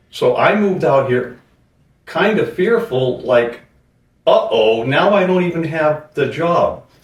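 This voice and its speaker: A man with an American accent at a fairly slow pace, with audible room echo. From Boston, Massachusetts. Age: 60s. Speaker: junk removal business owner. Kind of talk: interview.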